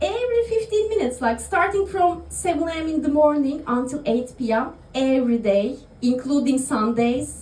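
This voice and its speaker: With a Turkish accent, a woman speaks at a high pitch with very wide pitch swings, and audible room echo surrounds her voice. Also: moderate pace. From Turkey. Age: 30s. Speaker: stand-up comedian. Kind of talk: stand-up. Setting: stage with audience in a bar. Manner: halting, many fillers.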